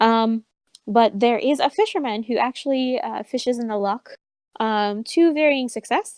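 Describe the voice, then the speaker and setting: The woman's fairly high voice has ordinary pitch variation and a dry, close sound with no echo. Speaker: game master. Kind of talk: tabletop game narration. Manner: loud.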